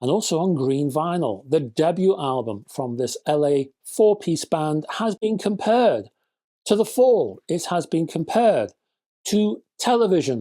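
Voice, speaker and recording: At a fairly slow pace, the speaker talks with a northern English accent in a very clean recording with a silent background. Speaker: music reviewer. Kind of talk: casual video review. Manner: animated.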